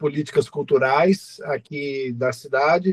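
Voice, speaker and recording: A man speaks very slowly, the sound dry and close with no echo. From Minas Gerais, Brazil (Viçosa). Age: 60s. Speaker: cultural manager, municipal culture council president. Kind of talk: online meeting comment. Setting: video call from home.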